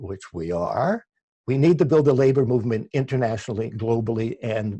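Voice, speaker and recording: Somewhat breathy and dark, mellow in tone, the voice moves at a moderate pace with ordinary pitch variation in a dry, close sound with no echo. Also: man. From Canada, Ontario (Oakville near Toronto). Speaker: labour radio host and producer. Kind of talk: interview. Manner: halting, many restarts.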